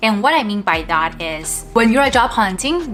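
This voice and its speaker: Music plays in the background as a woman talks with a non-native accent. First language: non-English. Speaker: product manager in tech. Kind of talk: casual talk to camera.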